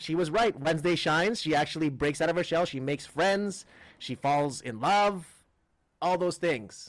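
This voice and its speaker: Speaking in a Filipino accent, a man has a fairly high pitch, ordinary pitch variation and a moderate pace. The recording is very clean with a silent background. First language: Tagalog. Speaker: comedian and podcast co-host. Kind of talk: casual chat.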